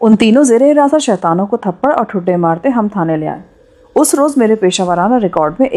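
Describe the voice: The text is read out plainly, with a lively rise and fall in the voice.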